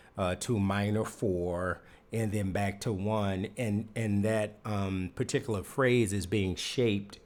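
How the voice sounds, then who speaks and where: A man with an ordinary speaking voice talks at a fairly slow pace in a fairly low pitch, with fairly even intonation. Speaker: music composer and producer. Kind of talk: tutorial. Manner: casual, filler-heavy.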